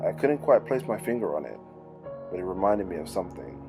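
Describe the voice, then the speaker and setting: Music runs behind the voice. A man speaks fairly quickly. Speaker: creepypasta narrator. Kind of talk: horror story narration.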